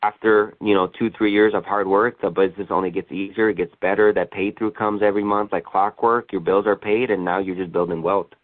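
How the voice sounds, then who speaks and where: It is an unremarkable speaking voice. A man talks at a fairly quick pace and a fairly low pitch. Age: 20s. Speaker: insurance sales agent. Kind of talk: conference call Q&A. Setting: conference call.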